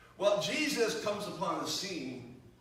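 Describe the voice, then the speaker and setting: The speaker talks at a fairly slow pace with lively intonation over noticeable background noise. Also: man. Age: 60s. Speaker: pastor. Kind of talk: sermon.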